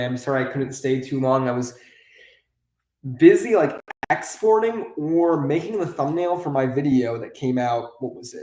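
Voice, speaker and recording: Here is a man with an ordinary speaking voice. He keeps a moderate pace at a medium pitch. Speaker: YouTuber, toy building streamer. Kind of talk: live-stream building chat.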